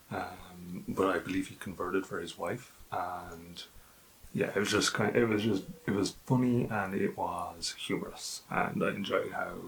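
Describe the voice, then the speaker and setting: Here a man talks with an Irish accent at a fairly slow pace. His intonation is fairly even, with long, frequent pauses. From Ireland. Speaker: book youtuber. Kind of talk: casual book review monologue. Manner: hesitant with many fillers.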